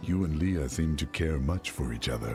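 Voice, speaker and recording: Over clear music in the background, a put-on character voice moves at a moderate pace. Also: man. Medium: video game. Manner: direct, terse.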